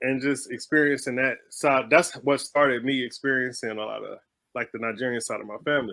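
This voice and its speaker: Speaking with a Southern US accent, a man has a medium-pitched voice and a bright, sharp tone. His intonation stays fairly even at a fairly quick pace. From Houston, Texas. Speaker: stage play writer, artist. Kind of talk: casual interview chat.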